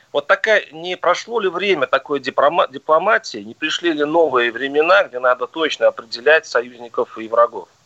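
A man with a plain, everyday voice speaks at a moderate pace and fairly high pitch, with lively intonation, big swings in loudness and hardly any pauses. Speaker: radio host. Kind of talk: radio talk show debate. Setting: radio studio.

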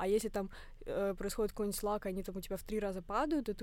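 A woman talks in a mid-range pitch. The recording is very clean, and the background is silent. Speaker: fitness blogger and student. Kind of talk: casual interview.

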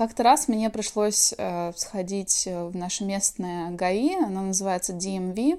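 A woman speaks at a very slow pace with a medium pitch and ordinary pitch variation, on a very clean recording with a silent background. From Russia, Kaliningrad region. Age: 30s. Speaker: emigrant interviewee. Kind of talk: testimony.

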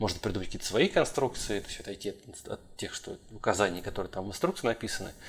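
Very fast and somewhat breathy, a man speaks at a fairly low pitch with ordinary pitch variation and big swings in loudness. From Russia, St. Petersburg. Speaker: podcast host, structural engineer. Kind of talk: casual chat.

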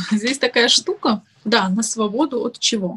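A woman's bright, sharp voice moves at a moderate pace with lively intonation. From Dagestan, Makhachkala. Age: 20s. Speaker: blogger and activist. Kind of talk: interview.

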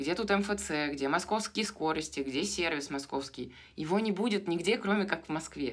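A woman with a normal speaking voice and fairly low pitch talks at a moderate pace. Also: lively intonation. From Moscow, Russia. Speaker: podcast co-host. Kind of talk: casual chat.

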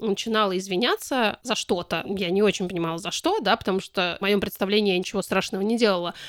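The speech moves at a very fast pace with ordinary pitch variation. The very clean recording has a silent background and a dry, close sound with no echo. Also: woman. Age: 40s. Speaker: activist and podcast co-founder. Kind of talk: interview.

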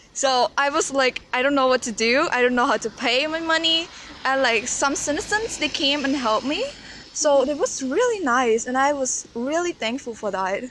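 Noticeable background noise sits behind a woman with a high pitch and lively intonation who talks at a moderate pace. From Cambodia. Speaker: university student. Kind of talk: interview. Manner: hesitant, many fillers.

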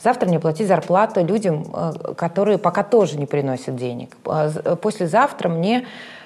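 A woman with a fairly low pitch has an ordinary speaking voice. She talks at a moderate pace with lively intonation. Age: 30s. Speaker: instagram blogger and journalist. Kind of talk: casual chat.

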